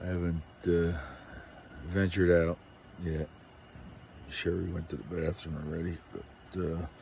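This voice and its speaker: A man speaks with a very deep, low pitch and a dark, mellow tone that is somewhat breathy. His intonation is monotone and flat, at a fairly slow pace with long, frequent pauses. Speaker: camping vlogger. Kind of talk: casual vlog narration. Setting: outdoors, camping in a tent. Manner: hesitant with many fillers.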